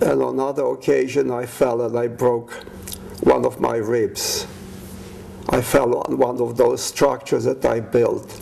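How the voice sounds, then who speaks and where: A man speaks with a Polish accent at a fairly slow pace. Noticeable background noise sits behind him. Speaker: war veteran. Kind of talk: life story testimony.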